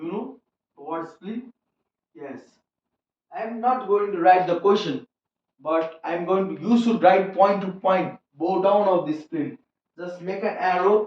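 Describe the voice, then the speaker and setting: A man with a non-native accent talks at a fairly slow pace in a high pitch, with ordinary pitch variation, big swings in loudness and long, frequent pauses. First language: not English. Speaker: biology teacher. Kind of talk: lecture. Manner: repetitive, explanatory.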